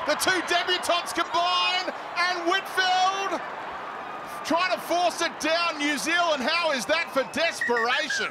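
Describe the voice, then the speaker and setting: Over noticeable background noise, a man speaks in a raised, projected voice at a fairly slow pace. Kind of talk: live sports commentary. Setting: stadium commentary.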